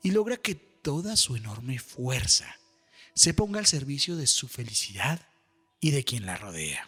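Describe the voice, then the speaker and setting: A man's voice with very wide pitch swings at a fairly slow pace, music in the background. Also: fairly high pitch for a man. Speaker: voice-over announcer and meditation guide. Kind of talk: guided meditation reflection. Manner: slow, calm, patient.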